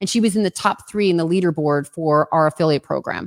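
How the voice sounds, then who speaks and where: An animated woman with a New Jersey accent, fairly quick, in a very clean, silent recording with a dry, close sound and no echo. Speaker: entrepreneur, social media marketer. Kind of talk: livestream interview.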